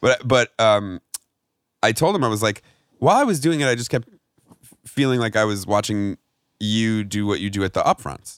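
A man with an American accent at a medium pitch and moderate pace, ordinary pitch variation, long and frequent pauses, in a dry, close sound with no echo. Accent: New York accent with Chicago tinge. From New York. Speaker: actor and comedian. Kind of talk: casual chat.

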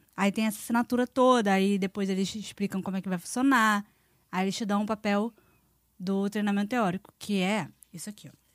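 On a very clean recording with a silent background, a woman with medium pitch talks at a fairly quick pace in an animated tone. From Brazil. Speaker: former theme park worker. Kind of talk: casual chat.

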